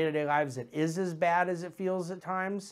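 At a fairly quick pace, a man with a high voice speaks in a fairly even intonation. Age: 40s. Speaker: investment manager hosting a market commentary show. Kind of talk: solo market commentary monologue. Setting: studio. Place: office. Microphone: lapel.

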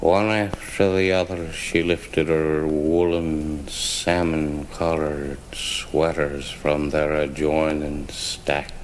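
A man speaks very slowly with a very deep, low pitch, monotone, flat intonation, and very even loudness, with hardly any pauses. Noticeable background noise is present. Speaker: author reading own work. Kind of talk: spoken-word fable reading. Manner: slurred, hard to follow.

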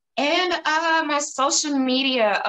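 This woman has a Southern US accent. She talks at a very slow pace. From Tennessee. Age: 20s. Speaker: model; interview guest. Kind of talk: interview. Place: home room. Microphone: video call.

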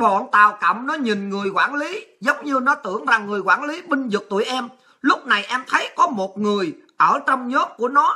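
In a quiet setting, a woman with a high pitch talks at a fairly slow pace with lively intonation. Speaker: show host, political commentator. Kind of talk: political commentary monologue. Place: home room. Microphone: webcam.

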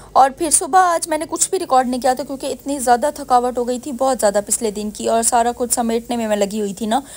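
A woman speaks with a high-pitched voice. Her pace is moderate. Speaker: mom vlogger. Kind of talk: voice-over narration. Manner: casual, chatty.

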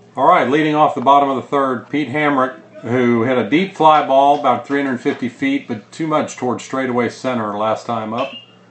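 Against noticeable background noise, a man with a medium-pitched voice talks at a moderate pace. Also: hardly any pauses. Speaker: baseball broadcaster. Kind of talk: live baseball play-by-play commentary. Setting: press box. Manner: brisk, animated pitch-by-pitch calling.

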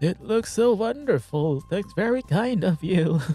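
In a put-on character voice pitched high with lively intonation, a man speaks at a moderate pace as faint music plays in the background. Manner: gentle, grateful.

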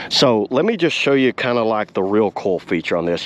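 A man at a fairly quick pace with lively intonation

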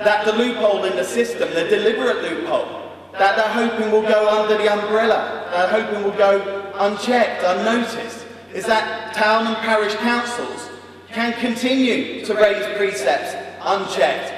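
A man speaks at a moderate pace in a high pitch with fairly even intonation. Strong room echo and light background noise surround the voice. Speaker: local councillor addressing party conference. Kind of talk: political speech. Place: hall. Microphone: podium.

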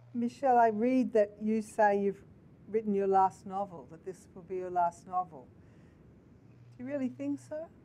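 A woman with a medium-pitched voice speaks at a moderate pace, her tone dark and mellow and her intonation lively. She leaves long, frequent pauses, and her loudness swings widely. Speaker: interviewer. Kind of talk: interview over video call. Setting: video call. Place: office.

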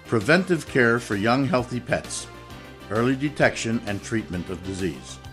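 Faint music plays in the background as the voice moves at a moderate pace with very wide pitch swings. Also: man. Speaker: voice actor. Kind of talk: TV commercial read.

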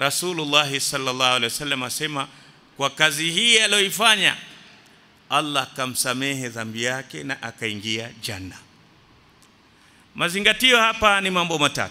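With very wide pitch swings and long, frequent pauses, a man speaks at a moderate pace. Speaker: religious teacher. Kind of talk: sermon. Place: church. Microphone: podium.

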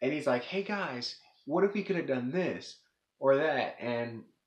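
Audible room echo follows a man as he talks at a moderate tempo. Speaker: video reviewer. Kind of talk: casual plot recap commentary. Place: home room. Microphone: webcam.

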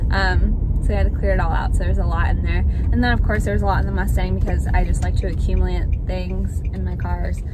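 A woman talks at a very fast pace with ordinary pitch variation. The sound is dry with no echo, over loud background noise. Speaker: vlogger. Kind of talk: casual vlog chat. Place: car. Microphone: phone near.

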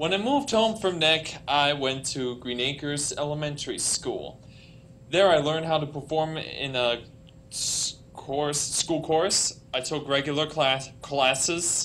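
A man with an American accent, fairly high in pitch, at a fairly slow pace, with ordinary pitch variation and light background noise. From US Northeast, New York; US Northeast. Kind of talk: prepared speech. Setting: conference stage with audience. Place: hall. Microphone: podium.

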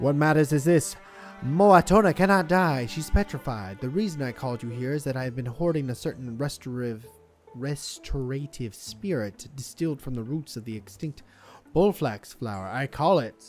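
Faint music sits in the background of this put-on character voice. It has a low-to-middle pitch and a moderate pace. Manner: earnest, explaining.

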